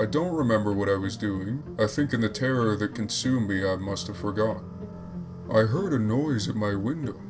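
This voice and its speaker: The man's voice sits at a fairly low pitch and moves at a fairly quick pace. Music plays in the background. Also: ordinary pitch variation. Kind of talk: creepypasta horror story narration.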